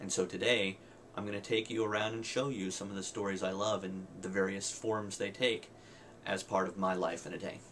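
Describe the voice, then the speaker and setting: Fairly low male voice at a fairly quick pace, monotone and flat, with noticeable background noise. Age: 30s. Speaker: English professor, video blogger. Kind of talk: personal video diary.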